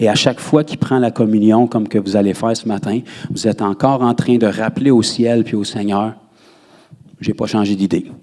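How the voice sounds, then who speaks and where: With a Quebec accent, a man talks at a medium pitch in a dark, mellow tone, his intonation fairly even. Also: moderate pace. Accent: Québécois French. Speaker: pastor. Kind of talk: sermon.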